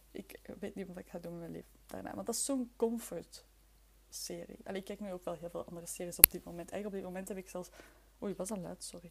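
The speech races along at a very fast pace yet breaks into long, frequent pauses. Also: woman. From Flemish Brabant, Belgium (near Leuven). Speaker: podcast host. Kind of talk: casual solo chat. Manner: chaotic, halting.

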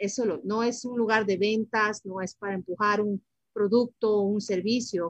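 A woman speaks at a moderate pace in a flat monotone, her voice somewhat breathy. The sound is dry and close, with no echo. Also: medium pitch for a woman. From Ecuador, Guayaquil; moved to the US at seven. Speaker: financial planning advisor. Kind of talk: interview.

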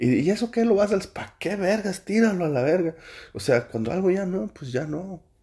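With a Mexican accent, a man speaks at a fairly quick pace in a high pitch, his tone dark and mellow and his intonation lively. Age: 40s. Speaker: podcaster. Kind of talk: casual monologue.

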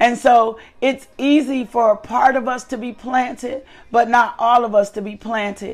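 With a high pitch and fairly even intonation, a woman talks at a moderate pace while her loudness swings widely. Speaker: devotional host and minister. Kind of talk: devotional teaching and prayer. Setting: live online broadcast. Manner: fervent, repetitive praise.

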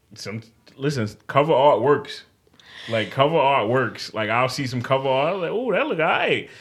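This man has a fairly high pitch and a New York accent. He speaks at a moderate pace with ordinary pitch variation. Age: 30s. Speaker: podcast host. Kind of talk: casual chat.

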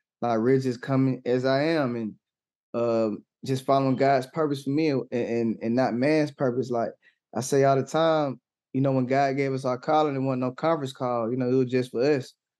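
The speaker, with an American accent, uses monotone, flat intonation. The pace is moderate and the background quiet. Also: man, medium pitch for a man. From Atlanta, Georgia (US South). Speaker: gospel rapper. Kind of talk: casual interview. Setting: livestream on Twitch.

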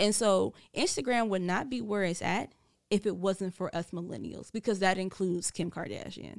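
In a very clean recording with a silent background and a dry, close sound with no echo, a woman with an American accent speaks at a medium pitch with fairly even intonation and vocal fry. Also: moderate pace. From US South. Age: 30s. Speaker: radio personality. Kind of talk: casual chat. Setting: studio.

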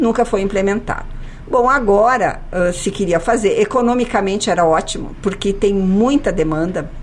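Over noticeable background noise, a woman talks at a moderate pace and medium pitch, with ordinary pitch variation and very even loudness. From Caxias do Sul, Rio Grande do Sul, Brazil. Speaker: city government official. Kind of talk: radio interview. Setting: studio.

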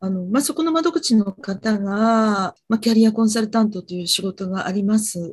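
Her voice is fairly high and somewhat breathy. The woman talks at a moderate pace. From Japan, Fukuoka. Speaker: freelance TV director, client. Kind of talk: career consultation.

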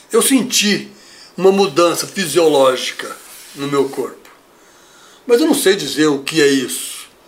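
A man with a high voice swings his pitch very widely and pauses long and often, with noticeable background noise and audible room echo. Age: 50s. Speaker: bodybuilder. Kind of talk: interview. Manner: halting.

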